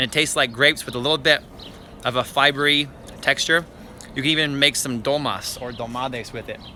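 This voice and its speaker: A man's very fast speech at fairly high pitch, broken by long, frequent pauses, over noticeable background noise. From western Canada (Richmond, British Columbia). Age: 30s. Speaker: gardening YouTuber. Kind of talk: live-stream garden tour. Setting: outdoors in backyard garden. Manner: animated.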